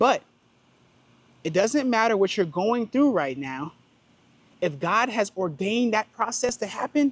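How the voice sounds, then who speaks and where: This woman's fairly high voice carries vocal fry and very wide pitch swings in an animated tone. She keeps a moderate pace, and the sound is dry and close with no echo. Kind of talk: faith vlog monologue.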